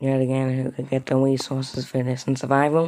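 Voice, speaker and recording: A man speaks quietly at a very fast pace and medium pitch. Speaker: gaming streamer. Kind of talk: live gameplay commentary.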